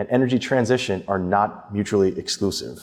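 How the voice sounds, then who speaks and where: A man with an unremarkable speaking voice talks at a moderate speed, his pitch fairly low. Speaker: adjunct professor in sustainability, ex-stock exchange. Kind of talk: panel discussion webinar.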